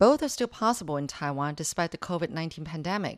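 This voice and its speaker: This woman has a normal speaking voice with fairly low pitch. Her intonation is lively. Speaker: radio news reporter. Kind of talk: light feature news report. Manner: breezy, upbeat and playful.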